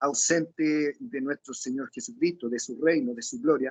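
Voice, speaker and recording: A man at a fairly slow pace, his pitch swinging very widely. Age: 60s. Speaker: lay preacher. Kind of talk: sermon. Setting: video call.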